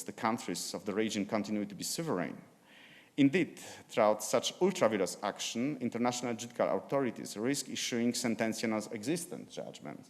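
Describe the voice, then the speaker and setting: With a Slavic accent, a man talks at a medium pitch and a fairly quick pace. His intonation is lively, and the background is quiet. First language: Polish. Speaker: law professor and judge. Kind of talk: conference presentation. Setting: conference. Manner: halting.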